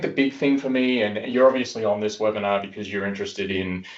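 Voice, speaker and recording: A man talks with an Australian accent. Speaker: software industry executive. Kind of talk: webinar presentation. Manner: casual, many fillers.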